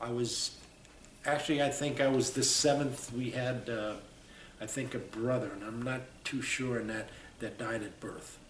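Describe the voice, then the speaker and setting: Pausing long and often, a man speaks at a moderate pace in a medium pitch with fairly even intonation, with noticeable background noise and audible room echo around him. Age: 70s. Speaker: war veteran. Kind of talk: oral history interview. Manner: halting.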